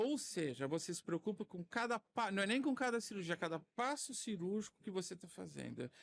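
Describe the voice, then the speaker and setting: A man with a high voice talks at a moderate pace with hardly any pauses and lively intonation, the sound dry and close with no echo over a quiet background. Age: 60s. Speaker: cataract surgeon. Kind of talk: podcast interview. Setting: recorded at a medical conference.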